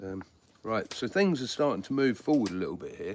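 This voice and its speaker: A man with a southeast English accent speaks at a moderate pace amid noticeable background noise. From southeast England. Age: 50s. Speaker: flintknapper and prehistoric skills teacher. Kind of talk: live-stream tutorial with chat replies. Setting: live stream. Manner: casual, hesitant with many fillers.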